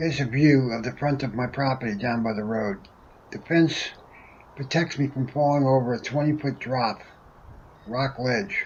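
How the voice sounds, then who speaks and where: Speaking at a moderate pace, a man's medium-pitched voice comes across somewhat breathy with fairly even intonation. He leaves long, frequent pauses. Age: 70s. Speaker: tractor owner, DIY hobbyist. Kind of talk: DIY how-to narration.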